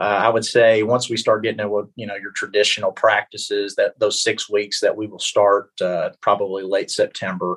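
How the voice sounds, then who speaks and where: A man talks at a moderate pace, his loudness swinging widely. The sound is dry and close with no echo, over a quiet background. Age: 30s. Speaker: college baseball coach. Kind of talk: casual interview.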